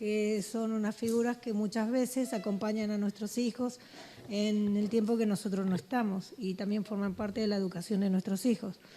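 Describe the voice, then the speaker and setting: A woman speaks with a fairly high pitch in a normal speaking voice. Her loudness stays very even, her intonation fairly even, and her pace moderate. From Andalusia, Huelva. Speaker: audience member, parent. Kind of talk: audience question.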